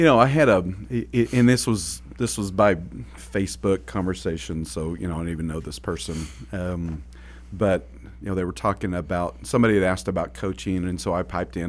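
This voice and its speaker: A man speaks with an American accent, his pitch very deep and low. Vocal fry runs through his voice as his pitch swings very widely. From Oklahoma. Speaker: podcast host, business coach. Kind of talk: casual conversational podcast chat.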